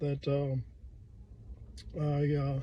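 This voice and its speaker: This man has a dark, mellow tone and a fairly high pitch. His voice is somewhat breathy. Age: 60s. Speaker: firefighter. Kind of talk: customer testimonial. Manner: casual, hesitant.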